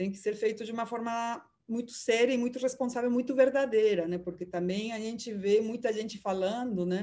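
Speaking with hardly any pauses, a woman uses a fairly high pitch, a dark, mellow tone and fairly even intonation. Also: moderate pace. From Peru. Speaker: journalist and lecturer. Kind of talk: interview answers.

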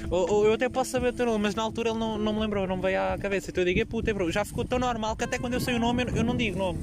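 With a slight Aveiro accent and a high pitch, a man speaks in an animated tone at a very fast pace with ordinary pitch variation. Noticeable background noise is present. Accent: slight local Murtosa accent, by own account. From Portugal, Murtosa (Aveiro district). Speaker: podcaster. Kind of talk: casual solo monologue. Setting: outdoors at the beach.

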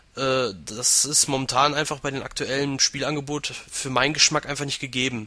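A man at a moderate pace with monotone, flat intonation, over noticeable background noise. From western Germany, Aachen. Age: 20s. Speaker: gaming website administrator. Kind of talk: casual interview.

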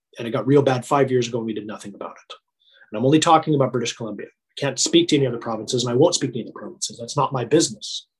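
Somewhat breathy, a man talks at a very fast pace. He has medium pitch and an American accent. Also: ordinary pitch variation. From US West, northeastern Nevada. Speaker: university rugby head coach. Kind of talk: casual chat.

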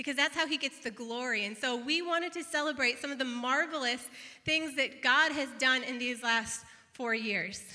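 A woman with an American accent speaks in a raised, projected voice at a high pitch, her tone warm and upbeat as well as bright and sharp. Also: ordinary pitch variation, moderate pace. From northeastern Illinois / southeastern Wisconsin, US. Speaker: pastor. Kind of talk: celebratory church announcement. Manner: warm, upbeat.

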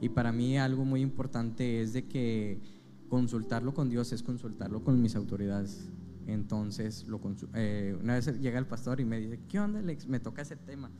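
The speaker is a man with a medium pitch. Audible room echo surrounds his voice. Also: ordinary pitch variation, moderate pace. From Monterrey, Nuevo León, Mexico. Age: 20s. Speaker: preacher in rehab centers. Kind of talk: testimony. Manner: halting, many fillers.

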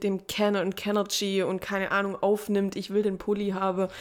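On a very clean recording with a silent background, a woman talks at medium pitch and a moderate pace. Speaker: podcast co-host. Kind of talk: casual chat.

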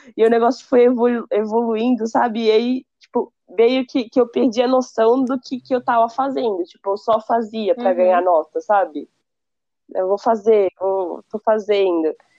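The voice has a dark, mellow tone and ordinary pitch variation, moving at a moderate pace with a dry, close sound and no echo. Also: woman, fairly high pitch for a woman. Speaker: university student. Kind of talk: casual chat.

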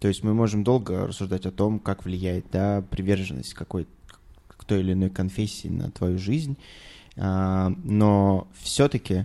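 At a fairly slow pace, a man speaks in a fairly low pitch with a dark, mellow tone and ordinary pitch variation. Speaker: regular podcast participant. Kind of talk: casual chat.

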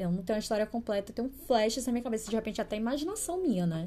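A woman's voice with lively intonation. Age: 30s. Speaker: podcast host. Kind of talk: casual solo podcast monologue.

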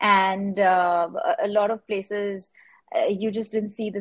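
A woman speaks at a fairly slow pace in a monotone, flat intonation at a medium pitch, with a quiet background. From India, Mumbai. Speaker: artist. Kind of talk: interview.

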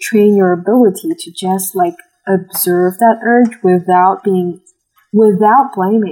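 In an ordinary speaking voice, a woman talks at a medium pitch and a fairly slow pace. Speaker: college student.

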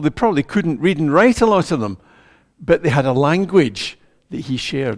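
On a very clean recording with a silent background, a man with a Scottish accent speaks at a fairly high pitch, his voice making very wide pitch swings. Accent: Scottish (Ayrshire). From Scotland, Ayrshire. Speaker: preacher. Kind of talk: sermon.

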